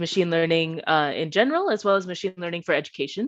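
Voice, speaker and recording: A woman talks very fast in a fairly low voice with a Bay Area accent. The background is quiet. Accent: American, Bay Area. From US West Coast, Bay Area California. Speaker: PhD student, machine learning researcher. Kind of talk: conference talk.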